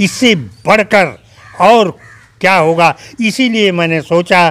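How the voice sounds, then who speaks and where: Speaking very slowly, the man uses a high pitch. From India, Ghazipur, eastern Uttar Pradesh; Uttar Pradesh. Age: 80s+. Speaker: retired police officer, cricketer's grandfather; interviewee. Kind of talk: interview. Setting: at home. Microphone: handheld.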